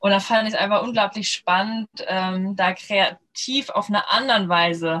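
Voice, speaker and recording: A woman speaks at a medium pitch. It is a plain, everyday voice. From Lower Saxony, northern Germany. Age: 30s. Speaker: startup founder. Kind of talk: podcast interview. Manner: many filler sounds (ähm, äh).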